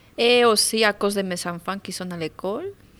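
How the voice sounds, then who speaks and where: In a very clean recording with a silent background, a woman with a Spanish accent talks at a fairly slow pace. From Mexico. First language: Spanish (speaking French). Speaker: adult French learner. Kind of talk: testimony. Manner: halting.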